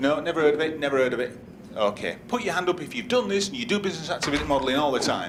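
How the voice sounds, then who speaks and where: A man's fairly high voice at a very fast pace, with very wide pitch swings, audible room echo and noticeable background noise. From Yorkshire, northern England. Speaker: conference speaker, business analyst. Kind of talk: conference workshop talk. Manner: conversational, interactive.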